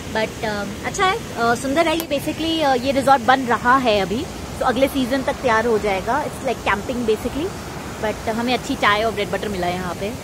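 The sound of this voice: Clear background noise sits behind a woman's voice. Her pitch is fairly high. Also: ordinary pitch variation, moderate pace.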